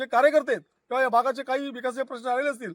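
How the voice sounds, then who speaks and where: Recorded with a dry, close sound and no echo, a man speaks at an extremely high pitch. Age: 60s. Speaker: local politician, election candidate. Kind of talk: news interview.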